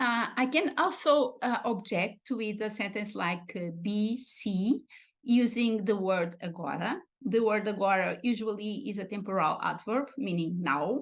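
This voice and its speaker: Speaking at a fairly slow pace with a Portuguese accent, a woman uses lively intonation. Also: fairly high pitch for a woman. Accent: European Portuguese accent in English. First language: European Portuguese. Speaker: linguistics researcher. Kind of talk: academic lecture. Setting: online video broadcast. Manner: hesitant, many fillers.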